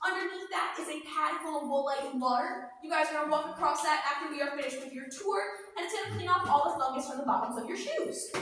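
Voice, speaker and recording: A woman's raised, projected voice, bright and sharp in tone, very fast, with ordinary pitch variation and audible room echo. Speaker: cave tour guide. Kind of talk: guided tour talk to a group. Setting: inside a cave with a tour group. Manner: loud.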